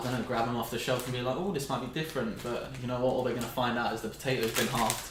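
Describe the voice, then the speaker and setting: A man with a British accent speaks at medium pitch with ordinary pitch variation, amid audible room echo and noticeable background noise. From Britain. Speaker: food reviewer. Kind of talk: casual chat.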